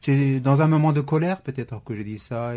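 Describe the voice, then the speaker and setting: A man's dark, mellow voice at a moderate pace, with ordinary pitch variation. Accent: Kurdish. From Syria (Kurdish). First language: Kurdish (speaking French). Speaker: novelist. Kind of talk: radio interview. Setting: radio studio. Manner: hesitant, frequent repetitions.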